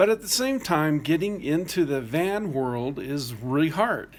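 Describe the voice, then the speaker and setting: At a moderate pace, a man with a plain, everyday voice talks with lively intonation. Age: 60s. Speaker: vlogger planning van life. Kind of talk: casual video blog monologue.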